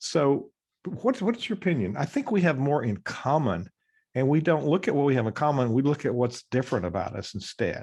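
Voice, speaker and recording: A man with an American accent talks at a fairly quick pace in a fairly high voice, with vocal fry and very wide pitch swings over a quiet background. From US Midwest, Chicago. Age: 70s. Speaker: podcast host, nonprofit leader. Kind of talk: interview. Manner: halting, many fillers.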